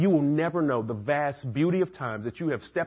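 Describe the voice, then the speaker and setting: A man with an American accent speaks at a moderate pace, his fairly high pitch swinging very widely. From Atlanta, US South. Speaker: preacher. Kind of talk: sermon. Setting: church.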